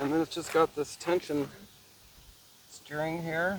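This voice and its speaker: Someone with an American accent speaks at a moderate pace against noticeable background noise. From Nevada. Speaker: vlogger. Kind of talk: casual vlog narration. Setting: outdoors on a kayak.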